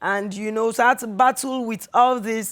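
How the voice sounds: A woman's fairly high voice, fairly bright in tone, with ordinary pitch variation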